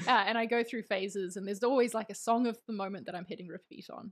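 A woman talks at a very fast pace with a fairly high pitch and ordinary pitch variation. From New Zealand. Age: 30s. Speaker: creative director and designer. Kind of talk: casual interview chat. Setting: video call from Spain.

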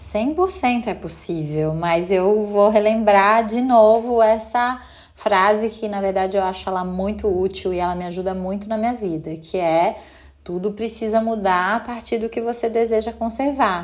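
An ordinary speaking voice, belonging to a woman with a fairly high pitch and ordinary pitch variation. She talks at a fairly slow pace. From Brazil, Minas Gerais (Belo Horizonte). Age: 40s. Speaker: mother, creative director. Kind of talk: interview testimony.

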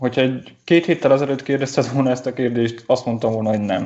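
A man speaks with a medium pitch. The variation in his pitch is ordinary. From Transylvania, Romania (Gyergyó region, Székely). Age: 20s. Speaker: designer. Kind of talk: interview conversation. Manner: halting, many repetitions.

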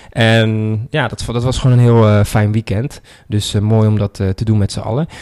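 The sound is dry and close, with no echo. A man talks at a moderate pace with medium pitch. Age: 30s. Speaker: podcast host, online marketing entrepreneur. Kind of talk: solo reflective monologue. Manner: casual, with many filler words.

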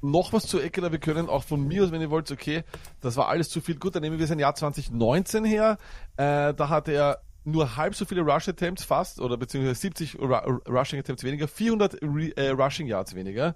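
Lively in intonation and fairly high in pitch, a man speaks with a Viennese accent against a quiet background. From Austria, Vienna. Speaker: fantasy football podcaster. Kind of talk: casual chat. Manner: talkative, fast.

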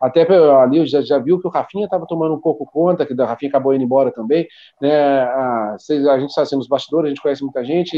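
This is a man speaking. His pitch is fairly high. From Brazil, São Paulo state (Taubaté). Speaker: football coach and club director. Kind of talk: casual interview.

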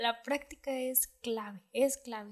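This is a woman speaking at a high pitch. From Mexico, Puerto Vallarta. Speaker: dentist. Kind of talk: casual chat.

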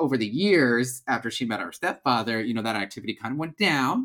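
Lively intonation and a fairly bright tone carry this fairly quick delivery.

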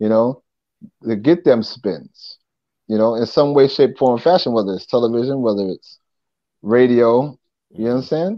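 A New York accent at a moderate pace, ordinary pitch variation, and long, frequent pauses. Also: man, medium pitch for a man. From Long Island, New York. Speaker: rapper and former TV host. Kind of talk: casual interview.

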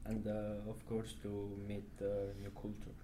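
With an Italian accent, a man speaks very slowly at a fairly low pitch, and audible room echo surrounds his voice. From Italy. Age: 20s. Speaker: exchange student. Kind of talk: group interview. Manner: halting.

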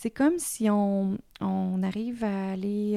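The woman's dark, mellow tone comes through in a very clean recording with a silent background and a dry, close sound with no echo. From Quebec, small town. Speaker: yoga teacher. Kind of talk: interview. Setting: recorded in Canada.

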